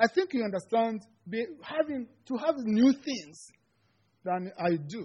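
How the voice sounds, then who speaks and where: Speaking in a Rwandan accent, a man has an extremely high pitch with very wide swings. He goes at a fairly slow pace with long, frequent pauses. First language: Kinyarwanda. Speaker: seminary student giving a sermon. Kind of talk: sermon. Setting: church. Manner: halting, non-native English.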